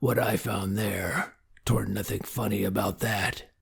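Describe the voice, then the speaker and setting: In a put-on character voice, a man speaks gruff, raspy and rumbling at a fairly low pitch, fairly slowly, with fairly even intonation. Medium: read story. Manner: gruff, laconic.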